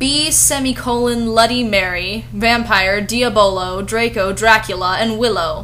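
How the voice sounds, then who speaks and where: Against noticeable background noise, a woman speaks at a fairly slow pace, with medium pitch and ordinary pitch variation. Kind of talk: comedic fan-fiction review with dramatic reading. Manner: sarcastic.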